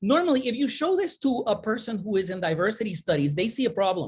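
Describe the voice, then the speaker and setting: Somewhat breathy, a woman talks at a fairly quick pace on a very clean recording with a silent background. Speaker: conference presenter, academic. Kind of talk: conference presentation. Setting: virtual summit. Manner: animated, hand-waving.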